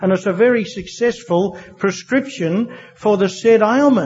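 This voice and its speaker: A man with a strong Australian accent and a high pitch, ordinary pitch variation, over noticeable background noise. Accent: broad Australian. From Australia, New South Wales (Wagga Wagga). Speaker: AA speaker sharing recovery story. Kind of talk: testimony. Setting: stage with audience. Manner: halting, many fillers.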